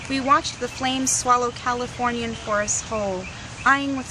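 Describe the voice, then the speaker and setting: Against noticeable background noise, a woman in an American accent speaks at a high pitch with fairly even intonation. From US, partly childhood in Tunisia. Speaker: poet. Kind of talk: poetry reading; interview.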